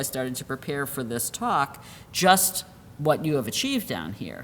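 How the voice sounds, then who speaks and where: There is audible room echo as a woman with a very deep, low pitch speaks with lively intonation. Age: 60s. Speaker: health law professor. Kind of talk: lecture. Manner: halting, many fillers and restarts.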